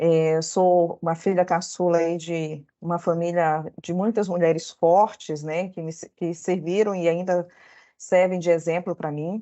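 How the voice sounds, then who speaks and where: This woman speaks with a northern Brazilian accent at a fairly slow pace, her intonation monotone and flat. Her loudness swings widely. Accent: northern Brazilian (Belém). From northern Brazil, Belém (Pará). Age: 40s. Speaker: lawyer. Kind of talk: workshop talk. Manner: halting, many fillers.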